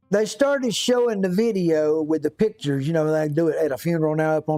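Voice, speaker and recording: Background music accompanies a man. He speaks at a moderate pace in a fairly high voice. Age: 60s. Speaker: YouTube livestreamer, DIY fixer. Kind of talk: casual chat. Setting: workshop livestream. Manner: halting.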